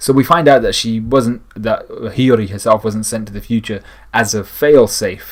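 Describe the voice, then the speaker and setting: A man speaks quietly at a medium pitch and a moderate pace. His pitch varies in an ordinary way. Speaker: anime and manga reviewer. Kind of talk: chapter review monologue. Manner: speaking a little quietly; frequent word repetitions and fillers.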